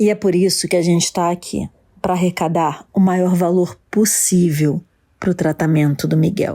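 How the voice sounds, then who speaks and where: A soft-spoken woman with a dark, mellow tone and fairly low pitch talks at a fairly slow pace. Her loudness stays very even and her intonation fairly even. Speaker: TV show host. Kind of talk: TV show presenting. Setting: church event. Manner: speaking softly.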